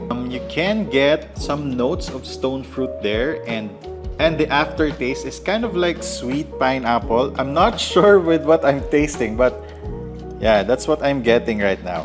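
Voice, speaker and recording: Clear music plays behind a man who speaks at a fairly slow pace. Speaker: coffee vlogger. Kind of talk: casual vlog chat. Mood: cheerful, enthusiastic. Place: home room.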